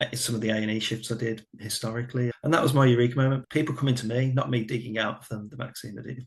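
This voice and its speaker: A man with a Birmingham accent talks very fast with hardly any pauses, his voice somewhat breathy, his medium pitch flat and monotone, and his loudness swinging widely. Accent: Birmingham (Brummie). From English Midlands, Birmingham. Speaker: former family doctor. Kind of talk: podcast interview.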